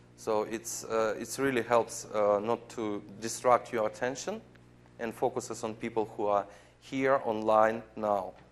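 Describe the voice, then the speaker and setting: A man with a non-native accent, medium pitch, monotone, flat intonation and a fairly slow pace. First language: not English. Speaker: software program manager presenting at a conference. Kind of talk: conference presentation with live demo. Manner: halting, many fillers.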